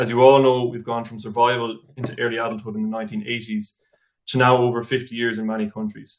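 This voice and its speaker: This man speaks very fast in an Irish accent at a medium pitch. His intonation is flat and monotone. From Ireland. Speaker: nutrition researcher. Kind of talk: academic presentation. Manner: formal.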